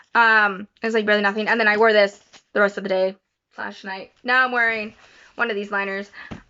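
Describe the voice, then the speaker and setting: A woman's fairly quick delivery in a monotone, flat intonation. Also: medium pitch for a woman. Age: 20s. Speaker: vlogger. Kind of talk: casual vlog. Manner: fast; halting.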